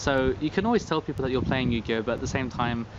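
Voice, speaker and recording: A man talks with a British accent. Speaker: card game youtuber. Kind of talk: casual vlog commentary. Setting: outdoors. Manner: monotone.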